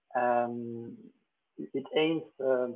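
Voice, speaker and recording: A man speaks at medium pitch in a French accent. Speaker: agronomist. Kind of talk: conference presentation. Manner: halting, many fillers.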